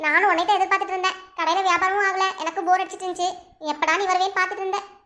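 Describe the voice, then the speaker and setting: A woman uses a cartoonish character voice, pitched extremely high and delivered very fast. Her intonation stays flat and monotone. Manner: worried, cautious.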